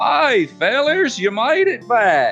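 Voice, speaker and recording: Over clear music in the background, a man performs a put-on character voice with an Australian accent, extremely high in pitch with very wide pitch swings. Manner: friendly, welcoming.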